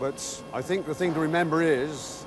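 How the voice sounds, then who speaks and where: The man's voice is fairly high in pitch, with noticeable background noise behind it. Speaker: assembly manager. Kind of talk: interview answer.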